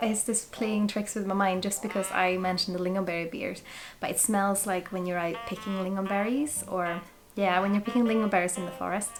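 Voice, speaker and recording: With a Swedish accent, the speaker moves at a fairly quick pace and fairly even intonation, amid audible room echo and noticeable background noise. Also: woman, medium pitch for a woman. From Sweden. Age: 20s. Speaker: whisky reviewer. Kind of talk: product review vlog.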